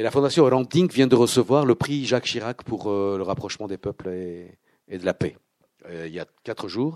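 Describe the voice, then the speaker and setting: A man speaks in an ordinary speaking voice at medium pitch and a moderate pace, his intonation lively and his loudness swinging widely, in a dry, close recording with no echo that is very clean against a silent background. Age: 60s. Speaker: actor and filmmaker. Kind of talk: book talk with audience. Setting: bookshop event with audience.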